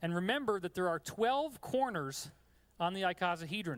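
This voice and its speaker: In a very clean recording with a silent background, a man with an American accent speaks at a fairly quick pace and high pitch, with an animated tone and ordinary pitch variation. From New York. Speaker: lecturer. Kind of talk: lecture.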